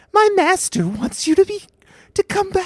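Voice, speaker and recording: Someone performs a put-on character voice at an extremely high pitch and a moderate pace. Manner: dim, gluttonous.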